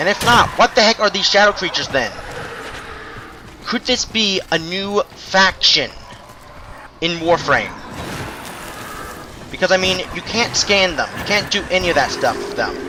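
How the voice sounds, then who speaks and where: Moderate pace with long, frequent pauses and noticeable background noise. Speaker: gaming youtuber. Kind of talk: gameplay commentary. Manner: stuttering; casual.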